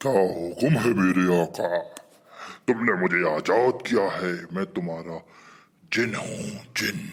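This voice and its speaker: A man uses a cartoonish character voice at a fairly slow pace. He leaves long, frequent pauses. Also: fairly low pitch for a man. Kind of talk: cartoon comedy dialogue.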